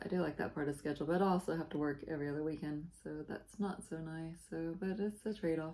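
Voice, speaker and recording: A soft-spoken woman with a fairly low pitch and fairly even intonation, talking very fast with hardly any pauses over noticeable background noise. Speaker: cross-stitch video blogger. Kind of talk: casual chat.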